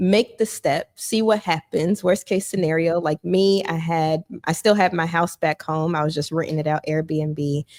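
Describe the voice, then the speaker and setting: Soft-spoken and fairly low-pitched, a woman talks at a moderate pace with fairly even intonation and hardly any pauses. The sound is dry and close, with no echo. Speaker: financial counselor. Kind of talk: interview.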